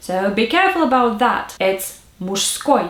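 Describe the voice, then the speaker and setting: In a Russian accent, a woman talks at a fairly slow pace with lively intonation. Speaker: language tutor. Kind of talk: tutorial.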